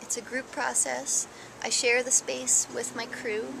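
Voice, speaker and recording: Music plays behind a woman as she speaks. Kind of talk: interview answer. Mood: warm, enthusiastic. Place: garden. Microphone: phone near.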